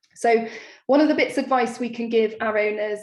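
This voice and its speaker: A woman speaks in a monotone, flat voice with a fairly high pitch. Room echo is audible. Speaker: dog behaviour specialist. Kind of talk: lecture. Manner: fast.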